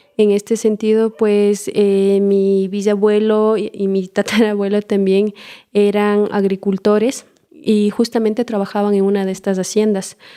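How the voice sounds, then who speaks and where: A woman with an Ecuadorian accent speaks in a dark, mellow tone at a fairly slow pace, her intonation monotone and flat. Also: medium pitch for a woman. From Ecuador, Imbabura highlands (Otavalo). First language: Kichwa (speaking Spanish). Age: young. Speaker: permaculture trainer and community organizer. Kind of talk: interview.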